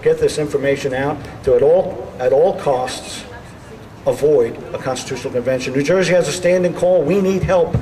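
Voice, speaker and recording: Amid noticeable background noise and audible room echo, a high-pitched man speaks at a moderate pace with ordinary pitch variation. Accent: Bronx. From New York City (the Bronx). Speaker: political speaker. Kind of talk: rally speech.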